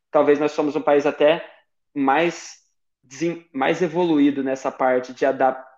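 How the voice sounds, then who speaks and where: At a moderate pace, a man speaks with a fairly high pitch. His intonation stays monotone and flat. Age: 20s. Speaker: Paralympic table tennis athlete. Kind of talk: interview. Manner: halting, frequent repetitions.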